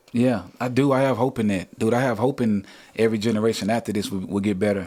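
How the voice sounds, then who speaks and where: A man with an American accent speaks at medium pitch and a very fast pace. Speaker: musician. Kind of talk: casual podcast conversation. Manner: animated.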